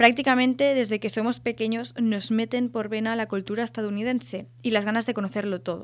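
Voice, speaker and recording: A woman with an unremarkable speaking voice talks at a fairly quick pace in a fairly high pitch, her intonation fairly even, in a very clean recording with a silent background. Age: 20s. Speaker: podcast host, student and photographer. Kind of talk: scripted monologue.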